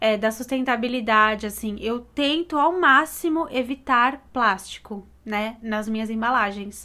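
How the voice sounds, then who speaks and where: Fairly slow yet with hardly any pauses, a woman speaks at a fairly high pitch in a bright, sharp tone with ordinary pitch variation. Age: 20s. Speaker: graphic designer, podcast co-host. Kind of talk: casual chat.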